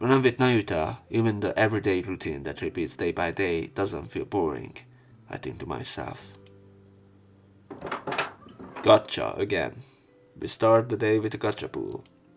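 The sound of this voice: At a fairly slow pace, a man talks with a low pitch, lively intonation and vocal fry. He leaves long, frequent pauses.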